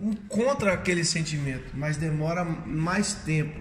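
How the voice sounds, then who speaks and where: A man speaks over noticeable background noise. The room echo is audible. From Minas Gerais, Brazil (Curvelo). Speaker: capoeira master. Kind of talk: interview.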